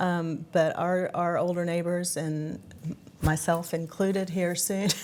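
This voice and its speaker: A woman speaks at a fairly slow pace with a fairly low pitch. Her intonation is monotone and flat. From West Virginia, South Charleston. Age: 60s. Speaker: nonprofit executive director. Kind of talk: TV interview.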